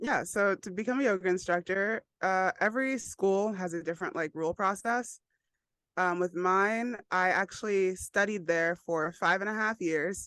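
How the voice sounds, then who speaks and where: Against a quiet background, a woman with an American accent uses a normal speaking voice at a medium pitch and moderate pace, with ordinary pitch variation and a dry, close sound with no echo. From New York. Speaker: yoga instructor. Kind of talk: casual interview chat.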